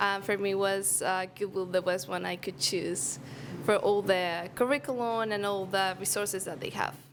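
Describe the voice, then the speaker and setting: A woman speaks at a moderate pace in a Spanish accent. Her pitch is medium, with ordinary pitch variation. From Venezuela. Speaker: program graduate. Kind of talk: testimony.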